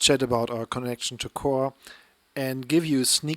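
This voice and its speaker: A man with a German accent speaks at medium pitch with fairly even intonation, the sound dry and close with no echo. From northern Germany. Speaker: podcast co-host. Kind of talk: casual podcast chat.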